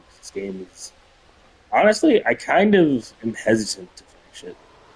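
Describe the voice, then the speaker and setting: Noticeable background noise runs through the clip. A man speaks at a moderate tempo. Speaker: gaming streamer. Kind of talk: live gameplay stream chat.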